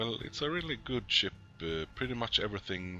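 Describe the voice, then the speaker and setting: With vocal fry, a man speaks in a fairly low voice that makes very wide pitch swings. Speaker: gaming commentator. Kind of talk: game commentary. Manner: hesitant, many filler sounds.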